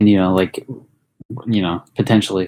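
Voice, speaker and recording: Speaking at a fairly quick pace, a man talks with a fairly low pitch. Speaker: podcast co-host. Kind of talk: casual chat. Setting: online voice call. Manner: fast.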